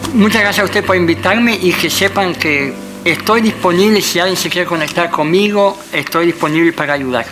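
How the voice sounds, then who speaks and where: The speech runs fairly quickly, pitch varying in an ordinary way, with noticeable background noise behind it. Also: man, high pitch for a man. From Netherlands. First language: Dutch (speaking Spanish). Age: 50s. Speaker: interview guest sharing life story. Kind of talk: testimony. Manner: halting.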